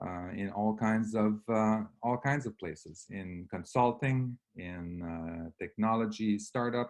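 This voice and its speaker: A man with a slight French Canadian accent, very slow pace, ordinary pitch variation and a quiet background. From Quebec. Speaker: real estate investor. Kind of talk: webinar presentation. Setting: online webinar. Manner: halting, many fillers.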